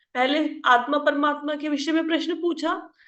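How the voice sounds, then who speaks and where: Audible room echo hangs around a woman as she speaks. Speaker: scripture teacher. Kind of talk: religious discourse. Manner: conversational.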